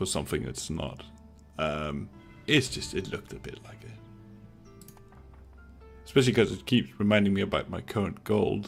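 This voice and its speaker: Music plays behind a man with a very deep, low pitch and a Danish accent, whose pitch swings very wide. He talks at a moderate pace with big swings in loudness and long, frequent pauses. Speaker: gaming YouTuber. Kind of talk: casual gameplay commentary.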